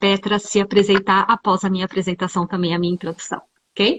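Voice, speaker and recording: A woman speaks in a somewhat breathy voice. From Brazil, São Paulo. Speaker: live stream host, home organizer. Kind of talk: live interview.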